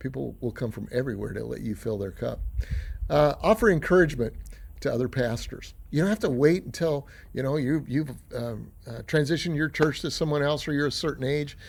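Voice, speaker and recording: In a very clean recording with a silent background, a man speaks at a fairly quick pace with lively intonation and vocal fry. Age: 60s. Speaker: pastor. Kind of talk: motivational talk. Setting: outdoors. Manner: casual, with frequent fillers.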